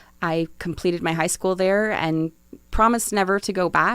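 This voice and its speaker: Using a normal speaking voice, a woman with an American accent speaks at a moderate pace with fairly even intonation. The recording is very clean, with a silent background. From New Jersey. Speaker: city economic development official. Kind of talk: podcast interview. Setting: studio.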